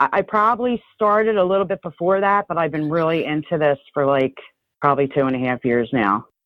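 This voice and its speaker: With a New Jersey accent, a woman talks at a fairly quick pace in a very deep, low pitch that swings very widely. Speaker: urbex photographer. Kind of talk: interview answer.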